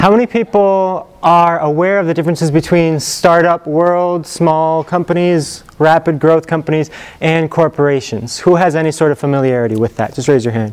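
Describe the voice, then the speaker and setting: This man has a fairly high pitch and talks at a moderate pace. He hardly pauses at all. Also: ordinary pitch variation. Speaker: engineering executive giving guest lecture. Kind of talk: lecture. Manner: not loud, voice fades; casual, hesitant fillers.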